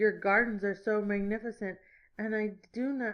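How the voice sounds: The voice reads naturally. Its intonation remains fairly even.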